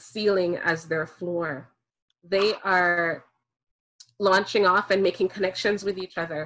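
A woman speaks very slowly in a bright, sharp tone. The background is quiet. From Jamaica. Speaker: speaker on race and parenting; speaker. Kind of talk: talk to an online audience. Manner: fluent. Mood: earnest, reflective. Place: home room. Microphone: video call.

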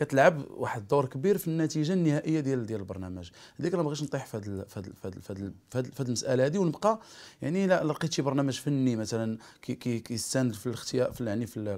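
At a very fast pace, a man of medium pitch talks with lively intonation. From Morocco. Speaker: singer; interviewee. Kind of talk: interview. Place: home room.

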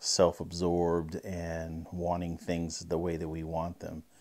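Over a quiet background, the voice proceeds at a fairly slow pace. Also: man. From grew up all over, military family. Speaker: podcast co-host, former musician; podcast co-host. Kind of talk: personal introduction monologue; personal introduction to camera. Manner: casual, filler-heavy. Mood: calm, sincere, reflective. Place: studio. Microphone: lapel.

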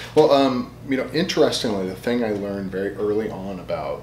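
With light background noise and audible room echo, a man speaks at a moderate pace in a fairly low voice with ordinary pitch variation. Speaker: guest. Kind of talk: interview answer. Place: office.

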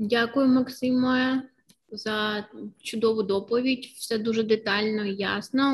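Very slow pace, monotone, flat intonation. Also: woman. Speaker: webinar moderator. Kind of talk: moderation. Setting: video call. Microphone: webcam.

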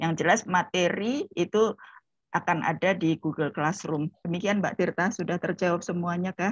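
A woman with a plain, everyday voice speaks at a moderate pace, her pitch fairly low and her intonation fairly even. The sound is dry with no echo, and the background is quiet. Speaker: lecturer, session moderator. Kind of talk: moderating a lecture. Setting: video call. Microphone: video call.

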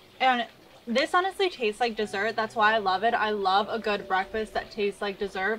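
There is light background noise as a woman talks at a fairly quick pace. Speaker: recipe host. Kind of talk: tutorial. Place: garden.

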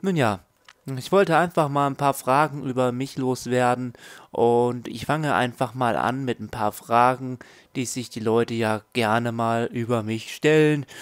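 Ordinary pitch variation at a moderate pace. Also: man. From southern Germany. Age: 20s. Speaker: gaming YouTuber. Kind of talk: casual vlog Q&A. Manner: halting.

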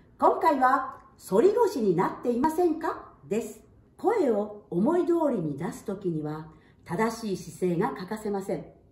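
Against audible room echo, a woman speaks in a dark, mellow tone. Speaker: singer and voice trainer. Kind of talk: voice lesson talk to camera. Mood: warm, cheerful. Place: home room. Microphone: camera far.

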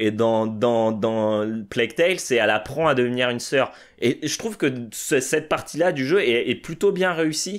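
With lively intonation and a fairly slow pace, a man talks against a quiet background. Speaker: podcast co-host. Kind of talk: casual chat. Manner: halting. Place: home room.

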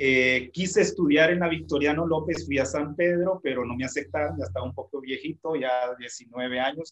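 A man talks at a fairly slow pace in an unremarkable speaking voice. His pitch is fairly high, with ordinary pitch variation. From Honduras, Santa Bárbara; Honduras. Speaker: music teacher and instrumentalist; music teacher. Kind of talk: casual interview. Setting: video call. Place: home room.

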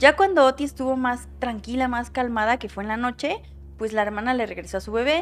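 The woman's pitch varies in an ordinary way as she talks at a moderate pace. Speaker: true crime storyteller. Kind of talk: casual storytelling commentary. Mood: somber, concerned. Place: home room. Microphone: studio mic.

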